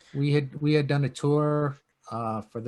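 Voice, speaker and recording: With a New York accent, a man talks in a monotone, flat intonation. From Long Island, New York. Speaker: punk rock guitarist. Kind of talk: podcast interview. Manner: relaxed, hesitant with fillers.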